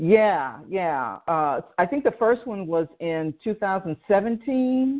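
A woman with a medium pitch speaks at a very slow pace, her pitch swinging very widely. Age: 60s. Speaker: podcast host and business coach. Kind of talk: interview.

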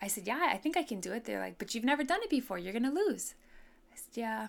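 A woman talks at a very fast pace with lively intonation and a fairly high pitch. Vocal fry runs through her voice. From Hawaii, Honolulu (Hawaii Kai). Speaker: politician. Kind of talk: podcast monologue.

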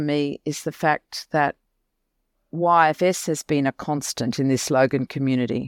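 A very deep, low female voice with ordinary pitch variation, on a very clean recording with a silent background and a dry, close sound with no echo. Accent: Australian. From Australia, Mackay, regional Queensland. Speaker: non-profit CEO. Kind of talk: interview.

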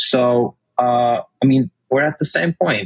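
With a Turkish accent, a man speaks at medium pitch with ordinary pitch variation, and the sound is dry and close with no echo. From Turkey. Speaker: olive oil company founder. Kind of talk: interview.

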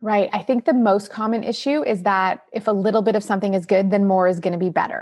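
Talking at a very fast pace with hardly any pauses, a woman with a Canadian accent holds a medium pitch, ordinary pitch variation and very even loudness. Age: 40s. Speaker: nutritionist and author. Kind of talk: interview.

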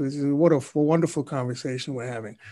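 Against a quiet background, a man talks at a moderate pace in a plain, everyday voice. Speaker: podcast host and marketing CEO. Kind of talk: casual interview.

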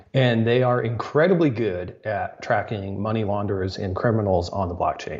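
With a plain, everyday voice, a man speaks at a moderate pace and fairly low pitch, using ordinary pitch variation and hardly any pauses. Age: 30s. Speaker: tech reporter. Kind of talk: casual chat.

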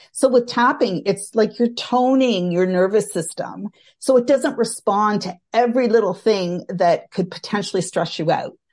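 With a Canadian accent and an unremarkable speaking voice, a woman talks at a fairly high pitch with ordinary pitch variation and hardly any pauses. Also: moderate pace, quiet background. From Canada. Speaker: social worker and tapping trainer. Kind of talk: interview, casual chat.

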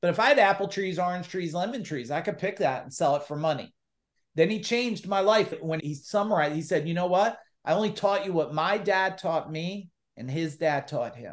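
An animated tone at a fairly quick pace, with ordinary pitch variation. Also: man, high pitch for a man. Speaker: entrepreneur and business coach. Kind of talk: casual interview. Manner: loud.

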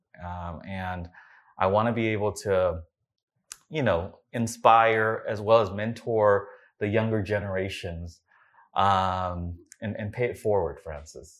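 A man speaks slowly, at a fairly unhurried pace, with a fairly low pitch and fairly even intonation. His is a plain, everyday voice with an American accent. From US, California. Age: 40s. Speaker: entrepreneur. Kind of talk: interview.

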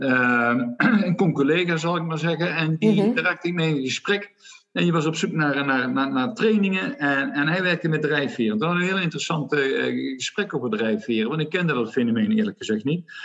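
Over noticeable background noise, a man talks at a moderate pace with hardly any pauses. His pitch is fairly high, his intonation lively and his loudness very even. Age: 50s. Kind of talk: interview. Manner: hesitant, many fillers.

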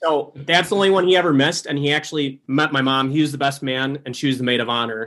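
Talking very fast with hardly any pauses, a man with an Upper Midwest accent uses a fairly high pitch and ordinary pitch variation. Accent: Upper Midwest American. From Wisconsin, Green Bay. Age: 20s. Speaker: hunting social media influencer. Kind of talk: casual interview chat.

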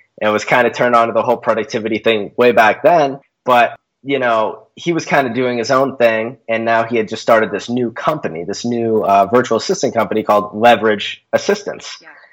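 Over a very clean recording with a silent background, a man speaks at a moderate pace in a normal speaking voice, with medium pitch and ordinary pitch variation. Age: 20s. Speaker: productivity consultant. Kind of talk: interview.

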